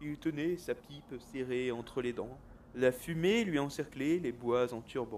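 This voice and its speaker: Speaking very slowly, a man uses a gentle tone at a medium pitch with ordinary pitch variation. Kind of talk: bedtime story reading aloud, a rhymed Christmas poem. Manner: gentle, storyteller's rhythm, patient with interruptions.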